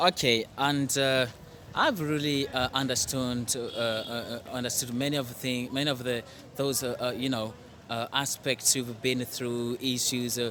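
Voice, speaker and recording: A man speaks at a fairly slow pace and medium pitch. His intonation is monotone and flat, with music in the background. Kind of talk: interviewer questions.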